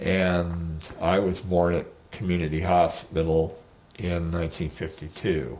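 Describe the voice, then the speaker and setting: With a very deep, low pitch, a man speaks fairly slowly in a monotone, flat intonation. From Martinez, California, US. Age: 70s. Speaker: oral history interviewee. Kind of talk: oral history interview. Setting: at home.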